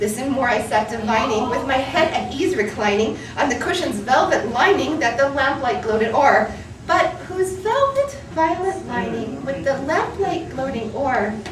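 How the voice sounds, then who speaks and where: A woman's high, dramatic, intense voice with very wide pitch swings, a moderate pace and hardly any pauses, over noticeable background noise. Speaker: dancer and choreographer. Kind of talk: poetry reading. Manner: dramatic, intense, energetic.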